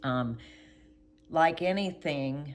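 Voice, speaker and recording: A woman is speaking. Her pace is very slow. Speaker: vlogger. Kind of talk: casual monologue. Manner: halting, with pauses to recall words.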